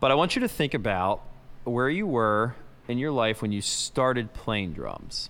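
This man has a plain, everyday voice at medium pitch. He moves at a moderate pace with lively intonation. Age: 30s. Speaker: drummer and podcast host. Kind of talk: casual chat. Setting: on tour, remote recording.

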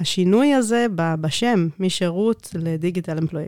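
On a very clean, dry and close recording with no echo and a silent background, a woman speaks with lively intonation in a dark, mellow tone at a fairly low pitch. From South Africa. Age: 30s. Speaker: IT manager. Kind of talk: interview. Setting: studio.

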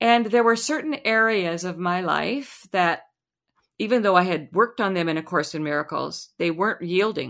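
Here is a plain, everyday voice from a woman with an American accent, medium in pitch with lively intonation. She keeps a moderate pace on a very clean recording with a silent background. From US Midwest, Lincoln, Nebraska. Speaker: sound healer. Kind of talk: interview.

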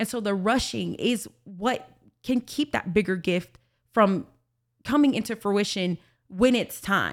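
This woman has an unremarkable speaking voice and an American accent, pitched at a medium level with ordinary pitch variation. She talks at a fairly slow pace on a very clean recording with a silent background. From Alabama, US South. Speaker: podcast guest, church worker. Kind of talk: testimony.

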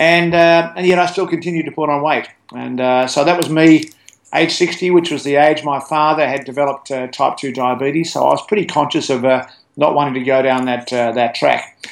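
Fairly high for a man, this voice speaks at a moderate pace with fairly even intonation in an Australian accent. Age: 60s. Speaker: sports medicine physician. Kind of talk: interview. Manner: halting, many fillers.

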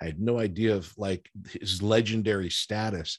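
On a very clean recording with a silent background, a man with an unremarkable speaking voice and fairly low pitch talks at a moderate pace with fairly even intonation. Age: 50s. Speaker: actor and TV writer. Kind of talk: casual chat.

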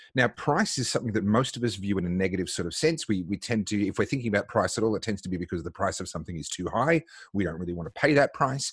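A man talks at a very fast pace with a fairly low pitch, lively intonation and an Australian accent. The sound is dry and close with no echo, over a quiet background. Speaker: podcast host. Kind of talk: interview.

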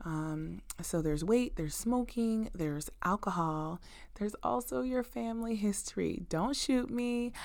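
A woman with an American accent and a warm tone, at a very slow pace with ordinary pitch variation, on a very clean recording with a silent background. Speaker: nurse practitioner podcast host. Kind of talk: educational health talk, podcast monologue. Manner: conversational, uses many filler words; warm, friendly, direct address to listeners.

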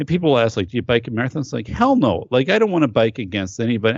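Lively intonation marks this man's very fast speech. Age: 40s. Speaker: safety expert and podcaster. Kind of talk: casual chat. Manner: halting.

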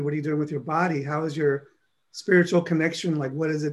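A fairly high-pitched male voice with a New York accent, fairly even intonation and a moderate pace. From New York City (Harlem, South Bronx). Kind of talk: interview.

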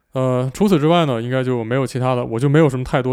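A man speaks at a medium pitch with fairly even intonation in a plain, everyday voice. The recording is very clean, with a silent background. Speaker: airline pilot and YouTuber. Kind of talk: casual solo podcast chat. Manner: relaxed with many fillers.

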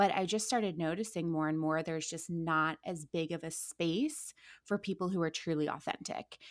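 A woman with an American accent, an ordinary speaking voice, fairly low pitch, fairly even intonation and a moderate pace, on a very clean recording with a silent background and a dry, close sound with no echo. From Ohio, Akron. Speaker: social media creator. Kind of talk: casual chat.

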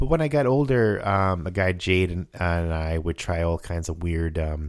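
A man at low pitch and moderate pace, with ordinary pitch variation

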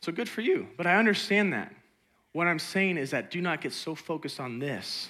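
A man's high-pitched, animated voice at a fairly quick pace. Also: lively intonation. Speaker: pastor. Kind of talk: sermon. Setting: church.

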